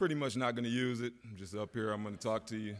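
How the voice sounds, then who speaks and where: With an American accent, a man talks at a medium pitch in a very clean recording with a silent background. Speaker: hall of fame inductee, former football player. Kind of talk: acceptance speech. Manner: halting, off the cuff.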